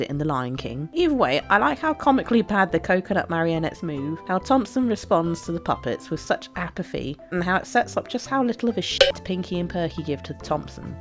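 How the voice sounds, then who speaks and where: Music plays in the background as a woman talks very fast with a British accent. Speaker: YouTube video essayist. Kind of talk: casual commentary narration.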